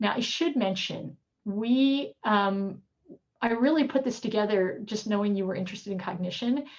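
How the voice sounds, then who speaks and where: A woman speaks at a medium pitch with ordinary pitch variation and a somewhat breathy quality. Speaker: professor. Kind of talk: lecture. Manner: fast.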